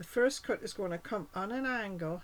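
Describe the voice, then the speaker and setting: Moderately paced, a normal speaking voice carries ordinary pitch variation. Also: woman. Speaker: cardmaking demonstrator. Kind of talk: tutorial.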